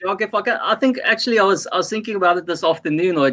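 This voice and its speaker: A man's raised, projected voice, high-pitched with a bright, sharp tone, racing very fast with ordinary pitch variation. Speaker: sports fan and punter. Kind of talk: casual podcast chat. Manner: animated.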